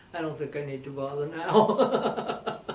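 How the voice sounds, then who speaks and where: Over noticeable background noise, a woman speaks at a moderate pace with a very deep, low pitch. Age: 80s+. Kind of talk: interview answer.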